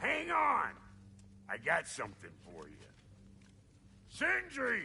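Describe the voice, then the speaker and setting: A man puts on a character voice. He talks at a fairly slow pace. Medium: video game. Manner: gruff, wry.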